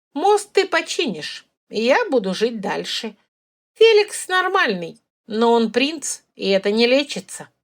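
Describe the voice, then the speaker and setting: In a put-on character voice, the speaker keeps a moderate pace with very wide pitch swings. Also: woman, high pitch for a woman. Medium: read story. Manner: frank, wry.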